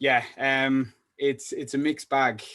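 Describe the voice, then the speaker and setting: A man in a North Welsh accent speaks with a monotone, flat intonation over a quiet background. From North Wales. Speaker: salesperson. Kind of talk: podcast interview. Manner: halting.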